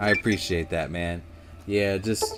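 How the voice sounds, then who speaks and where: Speech at a fairly slow pace over music in the background. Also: man. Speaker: gaming streamer. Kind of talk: live gameplay commentary. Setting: live stream. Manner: mumbling at times.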